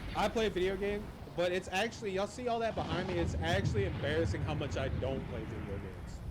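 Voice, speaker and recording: Speech races along at a very fast pace in an animated tone. Noticeable background noise and audible room echo fill the recording. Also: man. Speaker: podcast host. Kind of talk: casual chat.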